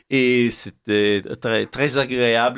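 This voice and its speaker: Using fairly even intonation, a man with an Italian accent speaks at a medium pitch. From Italy. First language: Italian (speaking French). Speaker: essayist. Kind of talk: radio interview. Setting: radio studio. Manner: halting.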